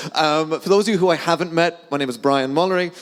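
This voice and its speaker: An animated man with a strong Irish accent. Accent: thick Irish. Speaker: sales account manager. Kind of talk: conference talk. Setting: stage with audience. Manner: fast.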